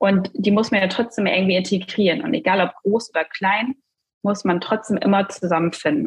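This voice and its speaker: Pitch variation is ordinary. The voice is somewhat breathy. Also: woman. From northern Germany, Cuxhaven district. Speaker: dental billing consultant and coach. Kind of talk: podcast interview.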